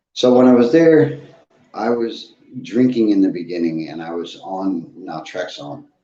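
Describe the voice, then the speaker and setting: Through audible room echo, a man with a fairly low pitch and dark, mellow tone speaks at a fairly slow pace, with very wide pitch swings and big swings in loudness. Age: 40s. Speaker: recovery live streamer. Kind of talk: casual live stream monologue. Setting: live stream. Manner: deliberate.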